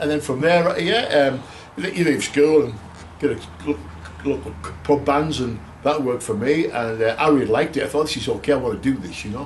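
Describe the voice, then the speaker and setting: In a room with audible echo and noticeable background noise, a man talks at a fairly quick pace with lively intonation and long, frequent pauses. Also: fairly high pitch for a man. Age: 60s. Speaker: retired professional drummer. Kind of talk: casual interview. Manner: hesitant, many fillers.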